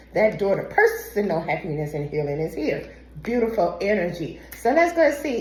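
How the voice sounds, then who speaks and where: With audible room echo around her, a woman speaks at a fairly high pitch. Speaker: tarot reader. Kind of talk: tarot reading. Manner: animated.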